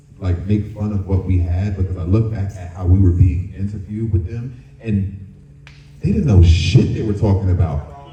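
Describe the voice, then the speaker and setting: Music plays in the background and room echo is audible as a man with a fairly low pitch speaks at a moderate pace with ordinary pitch variation. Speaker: former dance crew member on a TV competition. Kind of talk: panel discussion.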